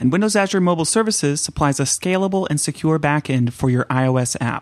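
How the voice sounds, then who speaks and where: A man with an American accent speaks at a fairly quick pace in a fairly high pitch, with ordinary pitch variation. The sound is dry and close with no echo, over a quiet background. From Northern California (Mount Shasta area, Santa Cruz). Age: 30s. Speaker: podcast host. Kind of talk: interview conversation; read-out sponsor ad. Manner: hesitant, many fillers.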